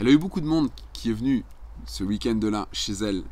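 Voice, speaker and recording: At a moderate speed, a man talks. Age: 50s. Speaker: life coach and entrepreneur; life coach. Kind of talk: casual monologue tutorial. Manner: hesitant, many filler words. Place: garden. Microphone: phone near.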